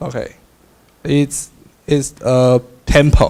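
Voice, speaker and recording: Speaking with a Taiwanese accent, a man talks at a fairly high pitch. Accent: Taiwanese Mandarin-accented English. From Taiwan, New Taipei City. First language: Mandarin. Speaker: student. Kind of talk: class presentation. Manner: halting, with many fillers.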